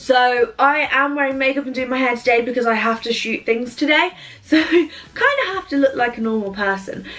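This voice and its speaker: Speaking at a fairly quick pace, a woman uses a high pitch with ordinary pitch variation. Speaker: vlogger. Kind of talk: casual vlog chat. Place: home room. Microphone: phone near.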